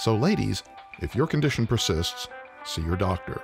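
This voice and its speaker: Over music in the background, a man's voice swings very widely in pitch. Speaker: voice actor. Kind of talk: radio commercial read.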